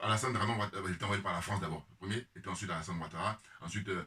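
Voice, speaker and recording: An animated man speaks against noticeable background noise. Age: 50s. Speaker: political commentator. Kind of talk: casual monologue. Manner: hesitant.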